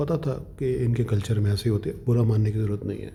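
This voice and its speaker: A man with a Punjabi accent, somewhat breathy, with a dark, mellow tone at a moderate pace. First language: Punjabi (speaking Hindi). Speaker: vlogger. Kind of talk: casual monologue. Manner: animated.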